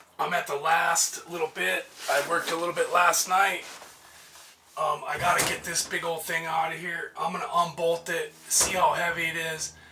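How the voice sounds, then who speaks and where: Noticeable background noise is present. Over it, a man talks at a moderate speed. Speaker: van builder vlogger. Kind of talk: casual work vlog. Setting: outdoors by van at condo at night. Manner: quiet, keeping voice down.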